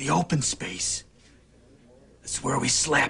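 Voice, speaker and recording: In a put-on character voice, a man speaks raspily at a fairly slow pace. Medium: short film. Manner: terse, quiet.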